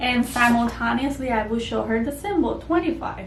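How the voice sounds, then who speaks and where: Noticeable background noise and audible room echo accompany a woman speaking at a fairly slow pace with a fairly high pitch. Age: 20s. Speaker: homeschooling mother and former teacher. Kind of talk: tutorial.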